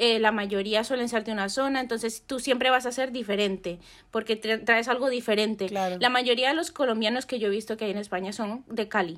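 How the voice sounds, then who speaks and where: A woman talks at a fairly quick pace with hardly any pauses, her fairly high voice held to fairly even intonation. The recording is very clean, with a silent background. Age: 20s. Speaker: photographer. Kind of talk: casual chat.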